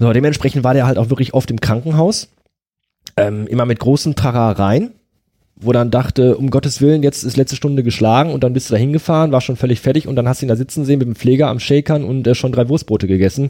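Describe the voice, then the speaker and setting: A man's dark, mellow voice at a very fast clip. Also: medium pitch for a man, ordinary pitch variation. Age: 30s. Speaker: podcast host. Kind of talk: casual conversation about grief. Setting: in person at the guest's home.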